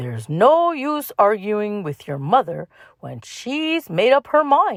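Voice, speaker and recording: Using a put-on character voice, a woman speaks fairly slowly at a medium pitch with very wide pitch swings. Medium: read story.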